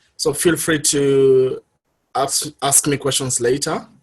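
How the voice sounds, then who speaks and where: A man speaks with a Kenyan accent. His voice is somewhat breathy. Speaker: public health worker, guest speaker. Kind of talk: presentation talk. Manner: halting, many fillers.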